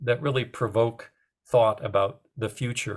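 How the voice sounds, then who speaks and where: A man with an American accent speaks at a moderate pace, medium in pitch and somewhat breathy. The recording is very clean, with a silent background. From US Midwest, North Dakota. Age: 60s. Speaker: author and environmental activist. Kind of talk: radio interview. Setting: radio show. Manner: halting, many fillers and repetitions.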